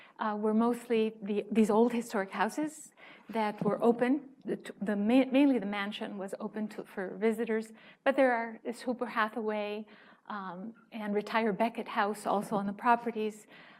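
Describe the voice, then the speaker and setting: At a moderate pace, a woman talks in a fairly high pitch with monotone, flat intonation. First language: Spanish. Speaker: museum outreach manager and educator. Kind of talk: conference talk. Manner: halting, many fillers.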